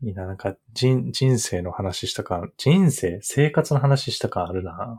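A somewhat breathy man at a fairly slow pace, pitch swinging very widely, in a very clean recording with a silent background. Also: medium pitch for a man. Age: 30s. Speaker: podcast co-host. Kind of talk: casual chat.

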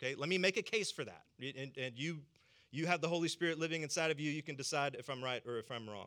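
This man has a fairly high pitch and a bright, sharp tone with an American accent. He speaks at a very fast pace. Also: ordinary pitch variation. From US South. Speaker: pastor. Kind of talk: sermon.

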